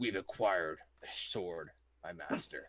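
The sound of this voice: A raspy, low-pitched put-on character voice speaks at a fairly slow pace.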